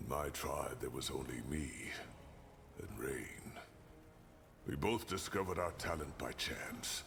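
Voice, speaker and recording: A man's put-on character voice, very deep and low, fairly slow with long, frequent pauses, over clear background noise. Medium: video game. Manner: frank, earthy, occasionally swearing.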